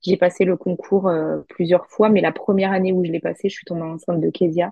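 A woman's fairly low, monotone, flat voice at a moderate pace. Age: 30s. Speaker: influencer. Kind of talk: interview.

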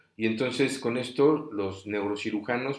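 At a fairly slow pace, a plain, everyday voice speaks with fairly even intonation. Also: man. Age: 40s. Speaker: podcast host, brain tumor survivor. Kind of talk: personal testimony, unedited monologue. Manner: many filler words, some stumbling. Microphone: recording setup adjusted; voice said to sound poor.

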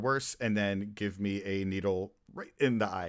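In a very clean recording with a silent background, a man with an American accent and an ordinary speaking voice talks at a fairly low pitch with ordinary pitch variation. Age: 40s. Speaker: DJ. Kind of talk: casual chat.

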